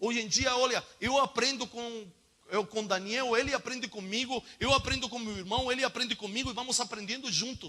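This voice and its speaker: Over noticeable background noise, a man uses a raised, projected voice at an extremely high pitch. He talks at a fairly quick pace with ordinary pitch variation. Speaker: preacher. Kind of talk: sermon. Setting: church school with audience. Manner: fast when inspired; animated.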